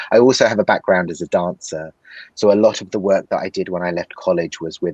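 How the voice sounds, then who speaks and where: The very deep, low voice of a man comes across with a dry, close sound and no echo. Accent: London. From London, England. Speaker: actor. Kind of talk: interview answer.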